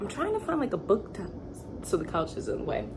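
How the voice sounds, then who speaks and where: Through noticeable background noise, a woman's lively intonation stands out. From Michigan, US Midwest. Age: 30s. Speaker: model and vlogger. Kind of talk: casual vlog storytelling. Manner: animated.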